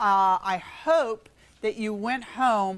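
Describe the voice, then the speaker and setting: A woman's medium-pitched, an ordinary speaking voice with ordinary pitch variation on a very clean recording with a silent background. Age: 60s. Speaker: workshop presenter. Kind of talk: talk to a society meeting. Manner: conversational.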